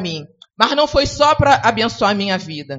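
Lively intonation colors a woman's fairly slow delivery. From Rio de Janeiro, Brazil. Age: 50s. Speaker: navy servicewoman giving a church testimony. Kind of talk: sermon.

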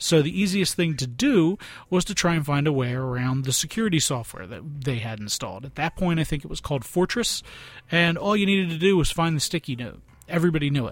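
At a very fast pace, a man with a Philadelphia accent talks in a fairly high pitch with lively intonation. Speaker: podcast host. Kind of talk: casual podcast monologue. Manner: halting, many fillers.

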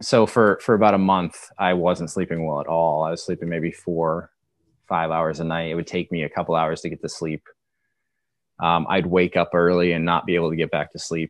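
Intonation here is monotone and flat, in an American accent. The pace is fairly quick. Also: man, very deep, low pitch for a man. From Maine, US Northeast. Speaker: insomnia sufferer sharing his recovery story. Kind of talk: interview testimony. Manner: halting, many fillers.

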